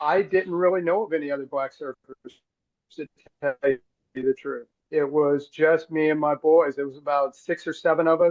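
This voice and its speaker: A man with an American accent uses a normal speaking voice with a fairly high pitch. He keeps a moderate pace and fairly even intonation. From Los Angeles, South Central (Crenshaw). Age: 60s. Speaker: surf organization co-founder, surfer. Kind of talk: interview storytelling. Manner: relaxed, with many fillers.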